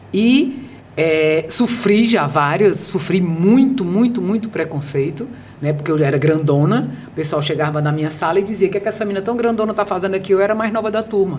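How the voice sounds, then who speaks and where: Amid noticeable background noise and audible room echo, a woman with a medium pitch talks at a fairly quick pace with lively intonation. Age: 60s. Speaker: behavioral speaker and author. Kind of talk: podcast interview. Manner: animated.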